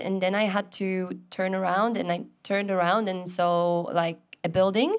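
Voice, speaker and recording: A woman with a Polish accent speaks at medium pitch and a moderate pace. Her intonation is monotone and flat, and the recording is very clean with a silent background. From Poland. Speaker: scuba dive instructor trainer. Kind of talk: casual chat.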